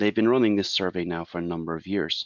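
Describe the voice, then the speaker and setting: Fairly quick speech with an Irish accent comes through a dry, close sound with no echo against a quiet background. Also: man. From Ireland. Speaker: IT consultant. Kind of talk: webinar presentation.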